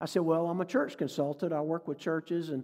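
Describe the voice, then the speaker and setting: With a Southern US accent, a man talks at a fairly quick pace in a fairly high pitch, his tone dark and mellow. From North Carolina. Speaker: preacher and church consultant. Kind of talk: sermon. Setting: church with congregation. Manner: animated.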